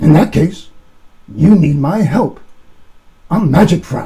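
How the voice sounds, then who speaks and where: Gravelly and high-pitched, a man does a put-on character voice at a fairly slow pace. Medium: read story.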